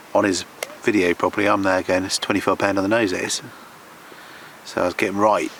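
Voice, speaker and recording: Over noticeable background noise, a man with a southern English accent speaks at a fairly quick pace, with fairly low pitch and monotone, flat intonation. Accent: English (southern England). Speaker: carp fishing vlogger. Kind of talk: casual vlog commentary. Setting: outdoors by a lake. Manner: quiet, hushed.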